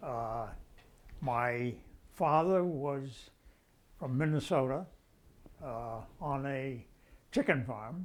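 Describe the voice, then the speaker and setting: A man speaks at a very slow pace, with long, frequent pauses and a medium pitch. His pitch varies in an ordinary way, and the recording is very clean with a silent background. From Rhode Island, US (Pawtucket). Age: 90s. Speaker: retired doctor recalling family history. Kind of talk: oral history interview. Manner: halting, many uh fillers.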